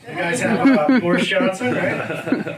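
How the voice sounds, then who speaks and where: Against noticeable background noise and audible room echo, a man with a high pitch speaks with lively intonation in an American accent. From United States. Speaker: stand-up comedian. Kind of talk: stand-up.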